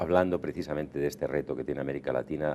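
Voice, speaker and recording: Speaking at a very fast pace, a man uses a very deep, low voice with vocal fry, a dark, mellow tone and fairly even intonation. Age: 60s. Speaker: diplomat. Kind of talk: TV interview.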